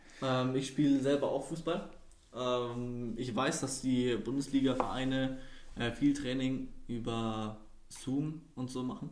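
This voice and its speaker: Audible room echo surrounds the recording. A man of medium pitch speaks very slowly with fairly even intonation. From Würzburg, Franconia, Germany. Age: 20s. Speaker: podcast guest, student. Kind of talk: casual chat.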